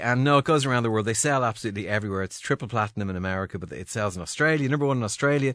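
A man's medium-pitched voice, very fast and fairly bright, with ordinary pitch variation and few pauses

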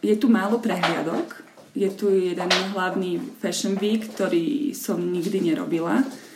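A woman's medium-pitched voice at a fairly slow pace with ordinary pitch variation, amid audible room echo and noticeable background noise. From Slovakia. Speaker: model and photographer. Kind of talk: interview. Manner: halting.

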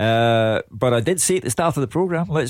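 A man speaks with a Scottish accent and lively intonation. The sound is dry and close, with no echo. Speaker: football pundit. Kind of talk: radio phone-in discussion. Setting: studio. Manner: formal.

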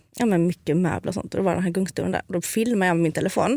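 In a fairly low voice with vocal fry, a woman talks at a very fast pace. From southern Sweden (Skåne). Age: 30s. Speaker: food influencer and medium. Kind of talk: casual chat. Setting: studio.

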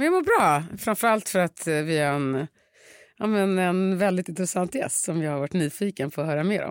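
A woman speaks in a plain, everyday voice at a medium pitch, with ordinary pitch variation and a moderate pace. The recording is very clean with a silent background and a dry, close sound with no echo. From Stockholm area, Sweden (Upplands Väsby). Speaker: podcast host. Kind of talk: casual chat.

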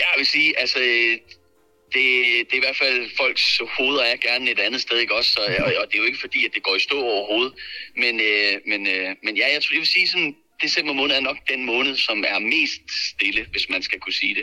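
A man's loudness stays very even. Noticeable background noise runs behind him. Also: moderate pace. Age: 30s. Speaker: real estate agent. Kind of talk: casual chat. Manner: halting.

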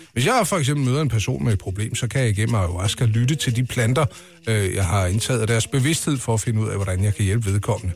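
Somewhat breathy and at a very fast pace, a man with a medium pitch keeps his loudness very even. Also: ordinary pitch variation. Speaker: radio host. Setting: studio. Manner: animated, playful, mock-dramatic storytelling delivery.

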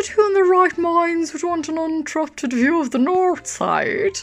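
Over light background noise, a woman uses a put-on character voice at an extremely high pitch. Her pace is moderate and her pitch variation ordinary.

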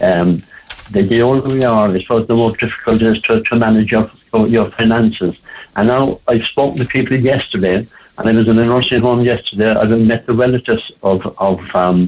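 A man's medium-pitched voice in an Irish accent, at a moderate pace with ordinary pitch variation. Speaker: advocate for elderly people. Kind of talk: radio interview. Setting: phone call.

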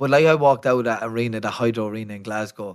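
A man talks at a medium pitch with an Irish accent. The background is quiet. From County Kildare, Ireland. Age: 30s. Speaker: professional boxer. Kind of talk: interview storytelling.

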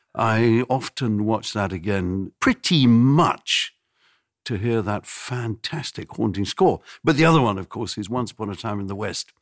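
A man speaks at a fairly slow pace with a fairly low pitch and lively intonation, in a plain, everyday voice. The recording is very clean, with a silent background and a dry, close sound with no echo. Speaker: conductor. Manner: wry, humorous.

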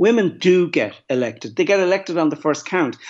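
A man with a Dublin accent, lively intonation and a fairly quick pace. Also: quiet background. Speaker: film producer. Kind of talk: panel discussion. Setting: remote from home.

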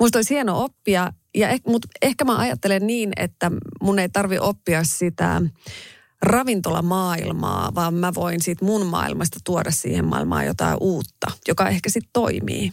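A woman's voice with very even loudness and a dry, close sound with no echo. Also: moderate pace. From Finland, Raahe (northern Ostrobothnia). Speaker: radio host and restaurant owner. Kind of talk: interview.

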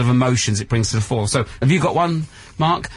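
The man talks at a fairly quick pace. His voice is somewhat breathy, with ordinary pitch variation. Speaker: radio host. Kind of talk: live radio chat. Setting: radio studio at a festival. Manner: animated, laughing.

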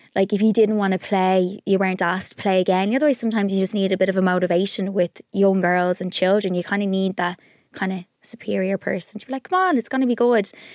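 In an Irish accent, a woman talks very fast at a medium pitch with fairly even intonation and hardly any pauses, the sound dry and close with no echo. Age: 30s. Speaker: podcast co-host. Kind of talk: casual chat.

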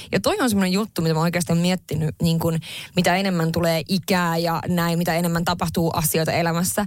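Woman with a Swedish accent at medium pitch and a fairly quick pace. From northern Finland. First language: Swedish (speaking Finnish). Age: 30s. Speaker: podcast co-host and entrepreneur. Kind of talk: casual chat.

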